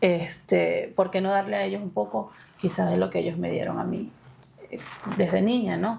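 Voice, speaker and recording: With noticeable background noise, a woman with a Maracaibo accent speaks at a moderate pace, leaving long, frequent pauses. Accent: Maracaibo (maracucho) Venezuelan. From Venezuela, Maracaibo (Zulia). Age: 30s. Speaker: interviewee sharing education story. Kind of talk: interview. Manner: hesitant, many fillers.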